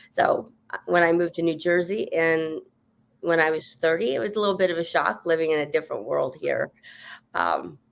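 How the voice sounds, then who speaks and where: The recording is very clean, with a silent background. A woman with a plain, everyday voice speaks at a moderate pace and fairly low pitch, with ordinary pitch variation. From Montana. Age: 50s. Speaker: political candidate. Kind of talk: interview.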